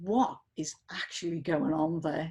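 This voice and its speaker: Speaking with a northern English accent, a woman has a dark, mellow tone, a fairly low pitch and a somewhat breathy quality. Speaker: activist and researcher. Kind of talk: interview conversation. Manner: halting, many repetitions.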